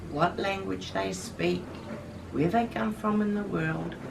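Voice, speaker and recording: Against noticeable background noise, a woman speaks with a New Zealand accent. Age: 70s. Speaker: Anglican minister. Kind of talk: interview answer.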